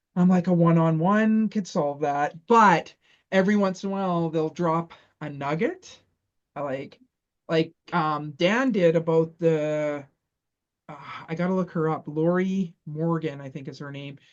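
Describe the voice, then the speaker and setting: With a Canadian accent and a plain, everyday voice, a woman speaks fairly slowly at a fairly low pitch, with ordinary pitch variation and big swings in loudness. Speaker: small business owner. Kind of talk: casual chat.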